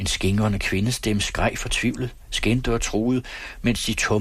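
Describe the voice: The intonation here is fairly even. It is plain reading aloud.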